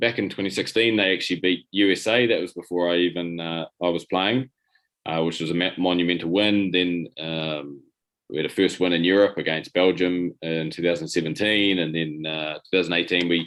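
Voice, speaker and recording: Speaking at a fairly quick pace, a man with a New Zealand accent has a very deep, low voice and fairly even intonation. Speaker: rugby player and coach. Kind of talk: interview. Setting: video call. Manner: halting, many repetitions.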